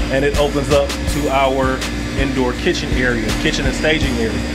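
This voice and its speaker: A man at a moderate pace over loud music in the background. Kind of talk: casual tour walkthrough. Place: street. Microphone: phone near.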